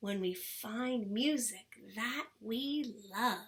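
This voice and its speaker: A woman does a put-on character voice at a fairly high pitch, speaking very slowly. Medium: read story.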